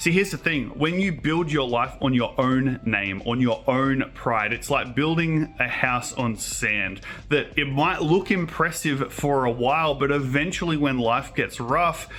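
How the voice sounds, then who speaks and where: A man with a fairly high pitch speaks in an animated tone at a fairly slow pace, with hardly any pauses. His loudness stays very even and his pitch varies in an ordinary way, amid noticeable background noise and audible room echo. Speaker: children's show host and preacher. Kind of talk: children's sermon.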